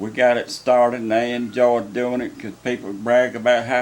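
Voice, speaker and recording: With a rural North Carolina accent, a man at medium pitch talks at a moderate pace over noticeable background noise. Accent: US Southern, rural North Carolina. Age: 70s. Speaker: farmer. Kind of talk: testimony.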